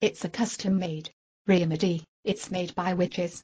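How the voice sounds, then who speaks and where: A put-on character voice that sounds female, pitched in the middle range for a woman. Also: moderate pace. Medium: comedy sketch.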